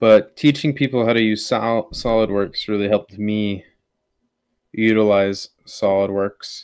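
With ordinary pitch variation, a man speaks at a fairly slow pace in a fairly low pitch. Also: quiet background. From US Midwest. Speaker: military service member and drone hobbyist; guest. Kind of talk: casual chat. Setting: video call. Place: home room.

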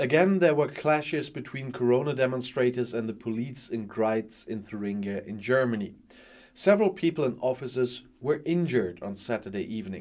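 A man speaks fairly quickly with lively intonation over a quiet background. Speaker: news video presenter. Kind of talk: news reading. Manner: formal, even-paced; neutral, matter-of-fact. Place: studio.

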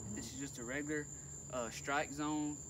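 A man talks at a moderate pace with fairly even intonation. Noticeable background noise runs behind him. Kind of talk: tutorial. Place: boat. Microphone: phone near.

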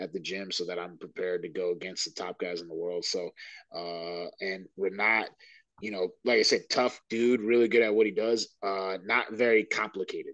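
The sound is dry with no echo over a quiet background. The voice moves at a moderate pace with fairly even intonation. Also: man, fairly low pitch for a man. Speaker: interviewee. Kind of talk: interview answer. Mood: relaxed, laughing at times. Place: home room. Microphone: video call.

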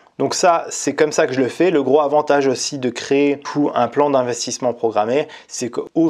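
A man with a plain, everyday voice talks at a fairly slow pace with ordinary pitch variation against a quiet background. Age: 30s. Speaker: YouTuber on personal finance and online business; YouTuber on personal finance. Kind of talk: tutorial. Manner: casual. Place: home room. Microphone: lapel.

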